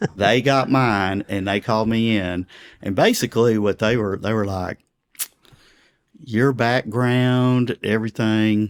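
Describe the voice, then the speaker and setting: In a Texan accent, a man speaks at a fairly slow pace. His intonation is fairly even, and the sound is dry and close with no echo. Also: medium pitch for a man. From Texas. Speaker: pastor. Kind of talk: interview. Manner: conversational.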